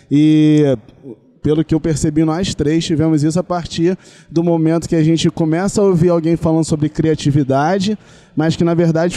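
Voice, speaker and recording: A man's dark, mellow voice, fairly high in pitch, at a moderate pace with very even loudness and a dry, close sound free of echo. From Rio de Janeiro, Brazil. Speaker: doctor. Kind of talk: casual interview chat.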